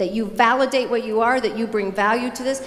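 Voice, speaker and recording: An animated voice with ordinary pitch variation comes through audible room echo and noticeable background noise. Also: woman. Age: 60s. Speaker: motivational speaker. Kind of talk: keynote speech.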